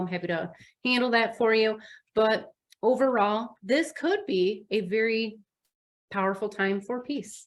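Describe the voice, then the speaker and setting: A woman with a Midwestern US accent and ordinary pitch variation. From US Midwest. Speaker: astrologer. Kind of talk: astrology forecast monologue. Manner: casual, conversational.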